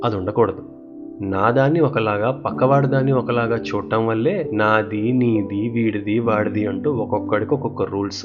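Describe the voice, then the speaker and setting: Music plays behind a man speaking in a calm tone at medium pitch, with ordinary pitch variation and very even loudness. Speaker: storyteller. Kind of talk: children's bedtime story. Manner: calm, clear.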